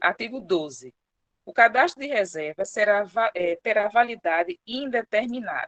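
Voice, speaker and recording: A woman speaks with lively intonation. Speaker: public servant presenting HR procedures. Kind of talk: online presentation / briefing. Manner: fast.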